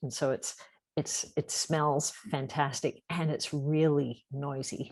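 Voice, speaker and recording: In a very deep, low voice and a slight Australian accent, a woman speaks at a very slow pace with monotone, flat intonation. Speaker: environmental nonprofit founder. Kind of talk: interview.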